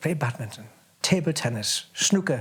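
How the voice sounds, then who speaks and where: A man speaks at a moderate pace. His voice is fairly high and somewhat breathy. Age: 80s+. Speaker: war refugee recounting memories. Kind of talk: oral history interview. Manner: halting.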